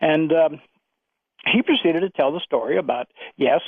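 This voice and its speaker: A man is speaking. He talks at a moderate pace. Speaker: retired aerospace engineer, caller. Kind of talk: radio call-in. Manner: halting.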